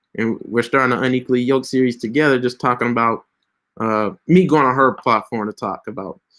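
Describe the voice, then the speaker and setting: Speaking at a very fast pace, a man with a medium pitch sounds animated on a very clean recording with a silent background. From Tennessee (Mount Juliet). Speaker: pastor and social media coach. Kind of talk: live stream tutorial. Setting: Instagram live stream. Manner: casual, fast, animated.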